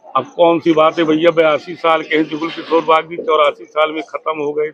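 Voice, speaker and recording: Monotone, flat intonation at a moderate pace comes through noticeable background noise. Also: man, fairly high pitch for a man. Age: 70s. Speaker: politician, former state legislator. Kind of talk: interview.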